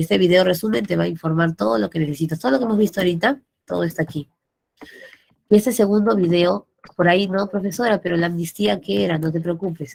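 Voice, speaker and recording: A woman talks at a very fast pace in a fairly low pitch. Her pitch swings very widely. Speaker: pre-university teacher. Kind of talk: online class lecture.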